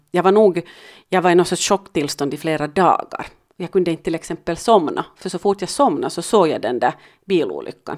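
On a very clean recording with a silent background, a woman in a Finland-Swedish accent talks at a fairly quick pace with a fairly low pitch. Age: 50s. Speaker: podcast co-host, mother. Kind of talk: casual chat.

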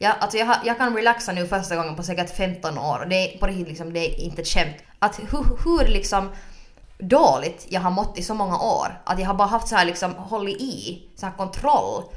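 It is a normal speaking voice from a woman at medium pitch. She keeps a moderate pace with ordinary pitch variation. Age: 20s. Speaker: podcast co-host. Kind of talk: casual chat.

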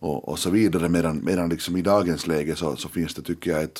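A man's very deep, low pitch with vocal fry. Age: 30s. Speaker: journalist and editor-in-chief. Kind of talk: radio panel discussion. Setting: studio. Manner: halting, many repeated words.

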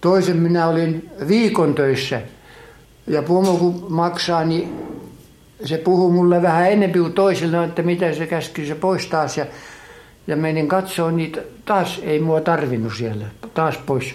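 Over noticeable background noise and audible room echo, the voice moves at a fairly slow pace with ordinary pitch variation. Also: man, high pitch for a man. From Finland, Kotka. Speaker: emigrant interviewee. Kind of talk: life story interview. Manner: halting.

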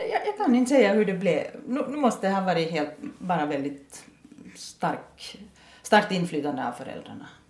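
With an Ostrobothnian accent, a woman of medium pitch talks in very wide pitch swings over noticeable background noise. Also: moderate pace. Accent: Ostrobothnian intonation in Finland-Swedish. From Ostrobothnia, Finland (Nykarleby). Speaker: adult education principal and German teacher. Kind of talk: interview. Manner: repeats words often, thinking aloud.

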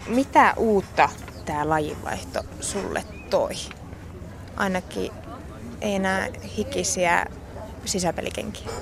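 A woman talks at a very slow pace, with long, frequent pauses. Noticeable background noise runs beneath her. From Finland, Kokkola. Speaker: podcast interviewer. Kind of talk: interview.

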